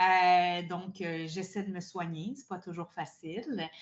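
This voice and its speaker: A woman in a Quebec accent at a very slow pace. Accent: Québécois French. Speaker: burnout prevention coach and therapist. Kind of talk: podcast interview.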